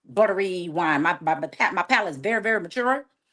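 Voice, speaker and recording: A woman speaks with a Southern US accent, her pitch swinging very widely. The background is quiet. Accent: Southern US, noticeable. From US South, Savannah, Georgia. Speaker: sommelier. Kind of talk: casual chat.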